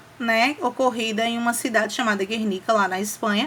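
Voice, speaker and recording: A woman speaks over noticeable background noise. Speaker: teacher. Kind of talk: lecture.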